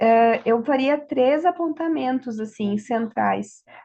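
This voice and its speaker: Fairly slow, high-pitched speech from a woman, with ordinary pitch variation. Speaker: law professor. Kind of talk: panel talk.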